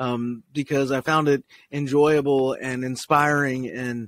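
A man speaks with a dry sound that has no echo. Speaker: podcast host. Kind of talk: casual podcast monologue. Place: tent. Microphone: studio mic.

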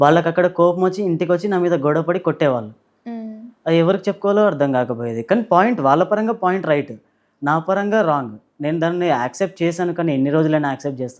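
With ordinary pitch variation, the man talks in a high register. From Telangana, near Warangal. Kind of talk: interview testimony.

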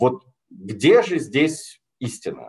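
Quiet background behind a male voice. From Russia. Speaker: sinologist, foreign policy expert; lecturer, policy analyst. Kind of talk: lecture. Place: home room. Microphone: webcam.

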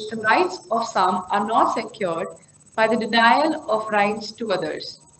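A woman's voice comes with light noise behind it and an audible room echo. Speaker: event host. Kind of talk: formal event introduction. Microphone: headset.

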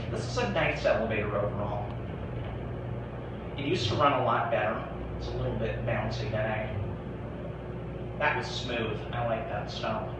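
Over loud background noise and audible room echo, a man talks at a moderate pace with long, frequent pauses. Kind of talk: casual commentary.

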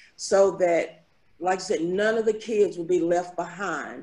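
A woman talks at a fairly slow pace with ordinary pitch variation. Her tone is dark and mellow, and the background is quiet. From Danville, Kentucky; Kentucky. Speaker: community member sharing memories. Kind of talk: casual group conversation. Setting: video call. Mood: warm, reminiscing. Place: home room. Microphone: video call.

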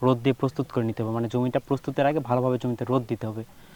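Medium in pitch with fairly even intonation, a man talks in an unremarkable speaking voice. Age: 20s. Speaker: student farmer. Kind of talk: interview.

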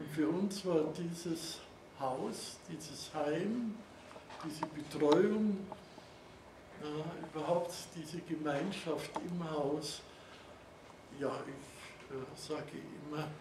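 Against noticeable background noise, a man with a fairly high pitch speaks at a very slow pace with long, frequent pauses. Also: ordinary pitch variation. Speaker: Holocaust survivor, eyewitness speaker. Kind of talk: eyewitness testimony, talk to an audience with slides. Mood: calm, reflective. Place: classroom. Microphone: camera far.

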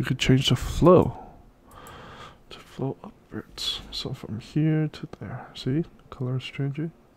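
A man's relaxed, somewhat breathy voice at a fairly high pitch, very slow with long, frequent pauses, ordinary pitch variation and big swings in loudness. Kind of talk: casual software walkthrough narration. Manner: casual, relaxed.

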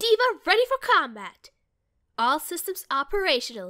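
A woman puts on a playful character voice at an extremely high pitch, with very wide pitch swings and a moderate pace. The very clean recording has a silent background and a dry, close sound with no echo. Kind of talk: game character audition lines. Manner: cocky, playful.

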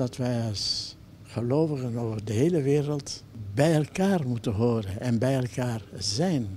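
Speaking at a very slow pace, a man uses a somewhat breathy, medium-pitched voice with lively intonation. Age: 80s+. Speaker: artist. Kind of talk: interview answer.

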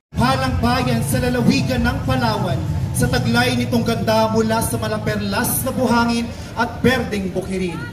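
A man's moderate-paced speech is accompanied by noticeable background noise. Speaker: festival narrator. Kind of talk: scripted performance narration. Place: street.

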